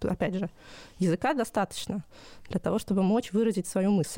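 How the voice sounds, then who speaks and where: With a dark, mellow tone, a woman speaks at a very fast pace in a dry, close sound with no echo. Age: 30s. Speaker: language teacher and parent. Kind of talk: casual chat. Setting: remote recording.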